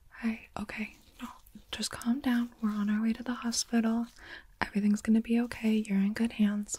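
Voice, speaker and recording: A soft-spoken woman talks at a fairly quick pace in a somewhat breathy, dark, mellow and soothing tone with monotone, flat intonation, in a dry recording with no echo. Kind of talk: soft-spoken roleplay. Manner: soft, hushed, soothing ASMR voice.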